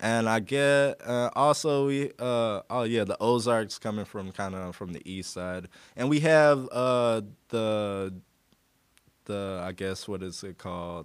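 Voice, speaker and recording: In an American accent, a man talks at a fairly slow pace in a medium pitch, with ordinary pitch variation and big swings in loudness. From US Midwest, rural southern Illinois. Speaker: community radio host. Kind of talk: casual interview. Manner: halting, many fillers.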